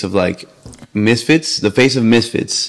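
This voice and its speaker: A plain, everyday voice from a man talking at a moderate speed. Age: 20s. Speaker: YouTuber and father. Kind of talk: casual chat.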